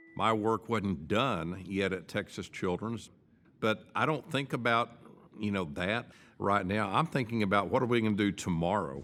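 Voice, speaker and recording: A normal speaking voice from a man with an American accent, fairly low in pitch, at a moderate pace, with ordinary pitch variation. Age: 60s. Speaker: hospital CEO. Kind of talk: documentary interview.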